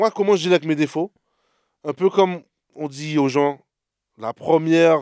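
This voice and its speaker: At a moderate pace and fairly high pitch, a man talks with ordinary pitch variation in a dry, close sound with no echo over a very clean recording with a silent background. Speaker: podcast co-host. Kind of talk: casual chat. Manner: loud.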